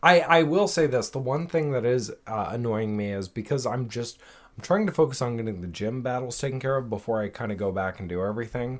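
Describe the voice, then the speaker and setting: A man's normal speaking voice at a medium pitch, fairly quick, with lively intonation. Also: very clean recording, silent background. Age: 30s. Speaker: fitness podcast co-host. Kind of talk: casual chat.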